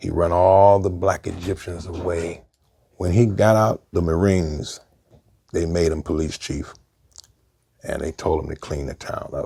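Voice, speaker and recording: A man speaks with a very deep, low voice that is somewhat breathy and dark and mellow in tone, at a fairly slow pace with fairly even intonation and long, frequent pauses. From Brooklyn, New York. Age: 60s. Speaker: former gang member. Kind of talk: interview storytelling.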